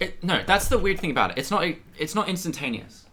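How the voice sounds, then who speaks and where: A fairly quick, bright and sharp voice with vocal fry, in an American accent. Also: man. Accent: sounds quite American for an Australian. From Australia. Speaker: streamer doing chemistry experiments. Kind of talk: casual live stream chat. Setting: home lab room.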